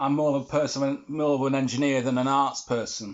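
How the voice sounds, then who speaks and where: A man with an English accent, a fairly high pitch and a moderate pace. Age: 60s. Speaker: vlogger. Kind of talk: monologue to camera.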